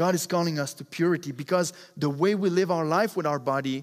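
A man with a French accent and a fairly high voice, ordinary pitch variation, on a very clean recording with a silent background. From Quebec. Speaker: preacher. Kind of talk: sermon. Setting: church.

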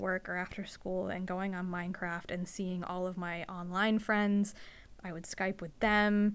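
A woman talks at a fairly slow pace in a monotone, flat intonation. The recording is very clean, with a silent background. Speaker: podcast host, veterinary receptionist. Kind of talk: casual chat. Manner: soft-spoken, shy.

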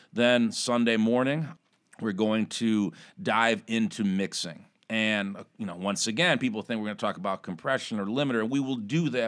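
A man with a plain, everyday voice speaks at a medium pitch and moderate pace, with ordinary pitch variation. The recording is very clean, with a silent background. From Chicago. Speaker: recording studio owner. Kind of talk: casual interview. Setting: studio.

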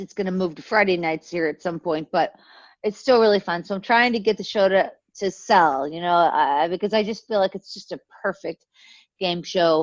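With an American accent, a woman speaks at a moderate pace in an unremarkable speaking voice, medium in pitch with ordinary variation, the sound dry and close with no echo. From US, Pittsburgh area, Pennsylvania. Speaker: content creator. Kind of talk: casual chat.

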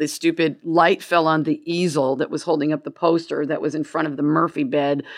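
A woman with an American accent speaks at a fairly quick pace in a very deep, low voice, recorded very cleanly against a silent background. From Gainesville, US. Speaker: comedian. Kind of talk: casual chat. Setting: studio with live audience.

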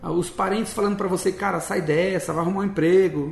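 A man's voice over noticeable background noise. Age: 40s. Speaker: missionary. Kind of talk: interview, personal testimony. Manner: casual, colloquial.

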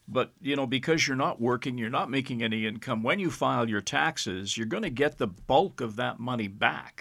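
In a normal speaking voice, a man talks at a medium pitch and a moderate pace, with lively intonation and hardly any pauses. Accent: Canadian. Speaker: podcast host. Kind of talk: casual chat.

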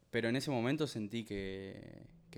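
A man's fairly low voice carries his words at a moderate speed. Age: 30s. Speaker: professional footballer. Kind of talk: testimony. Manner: halting, many repetitions.

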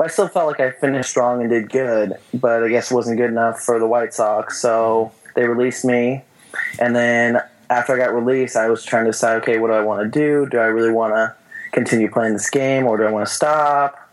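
With an American accent and a medium pitch, a man talks at a fairly quick pace with fairly even intonation and very even loudness over noticeable background noise. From Northern California, near Sacramento. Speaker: baseball pitcher. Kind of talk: interview.

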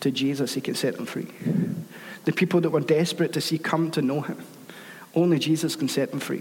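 A man's fairly high, evenly intoned voice at a very fast pace, with audible room echo. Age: 30s. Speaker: guest preacher. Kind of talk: sermon.

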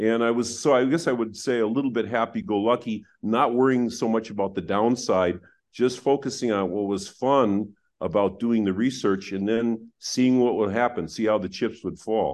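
An ordinary speaking voice with an American accent, moving at a moderate pace with ordinary pitch variation. The background is quiet. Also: man, medium pitch for a man. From US Midwest, Wisconsin. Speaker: economics professor. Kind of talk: interview.

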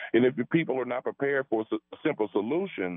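An American-accented man talks at a moderate pace. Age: 60s. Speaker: radio caller. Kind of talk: call-in radio opinion.

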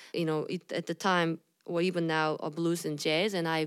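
A woman with a fairly low voice talks at a fairly quick pace, her pitch varying in an ordinary way. The recording is very clean, with a silent background. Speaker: blues musician and songwriter. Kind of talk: interview conversation. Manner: halting.

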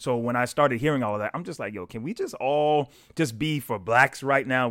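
With a very clean recording and silent background, a man talks at a fairly quick pace in an unremarkable speaking voice with ordinary pitch variation. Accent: American. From US South, South Carolina. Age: young. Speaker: pastor. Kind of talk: casual discussion.

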